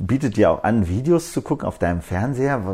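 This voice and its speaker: A man speaks at a moderate pace with very wide pitch swings, a dark, mellow tone and vocal fry. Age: 30s. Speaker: media technology executive. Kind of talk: interview. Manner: hesitant, many fillers.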